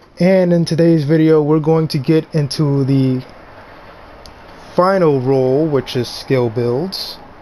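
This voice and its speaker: A man's fairly high voice at a very slow pace, with long, frequent pauses and noticeable background noise. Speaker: gaming YouTuber. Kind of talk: tutorial. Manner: halting.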